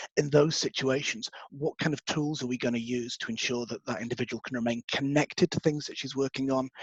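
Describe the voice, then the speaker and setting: The recording is dry and close with no echo, as a man speaks very fast in a somewhat breathy voice with fairly even intonation. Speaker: webinar presenter. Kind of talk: webinar presentation.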